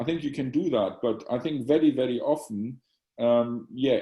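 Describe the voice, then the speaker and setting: At a moderate pace, a man with a German accent speaks at medium pitch in a dark, mellow tone. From Germany. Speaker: psychiatry professor and journal editor. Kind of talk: Q&A after lecture. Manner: halting, many repetitions.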